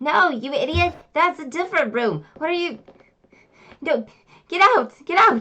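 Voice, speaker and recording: Putting on a character voice, a woman pitches it extremely high at a moderate pace. Long, frequent pauses break up her lines. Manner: angry, shouting.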